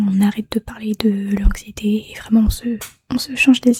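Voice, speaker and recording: A soft-spoken woman whispers at a fairly slow pace in a calm, gentle tone. The sound is dry and close, with no echo. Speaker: ASMR creator. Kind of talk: ASMR soft spoken comforting talk to the listener. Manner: soft-spoken, whispered, calm, gentle.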